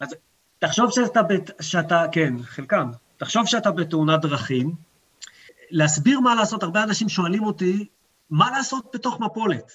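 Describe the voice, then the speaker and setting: This man speaks with a high pitch. His voice makes very wide pitch swings. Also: moderate pace. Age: 40s. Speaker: mountain and off-piste ski guide. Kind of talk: expert interview.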